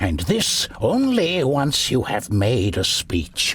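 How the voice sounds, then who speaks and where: Clear background noise behind a put-on character voice. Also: man. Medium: video game. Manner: measured, statesmanlike.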